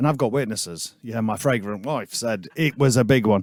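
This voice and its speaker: A man with a Yorkshire accent talks with lively intonation. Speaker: musician, podcast co-host. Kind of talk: casual chat.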